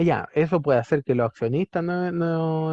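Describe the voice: Recorded with a dry, close sound and no echo, a man talks at a fairly high pitch and a moderate pace.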